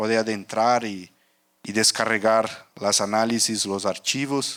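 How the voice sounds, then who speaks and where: Very slowly, a man speaks with a Portuguese accent on a very clean recording with a silent background. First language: Portuguese (speaking Spanish). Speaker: rubber market analyst, conference speaker. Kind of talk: conference talk. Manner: halting, many fillers.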